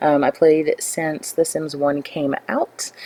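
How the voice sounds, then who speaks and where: A woman with a Southern US accent and a very deep, low pitch, in a dry, close sound with no echo. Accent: Southern American. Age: 20s. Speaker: gaming YouTuber. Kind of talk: gameplay voiceover. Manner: hesitant, many fillers.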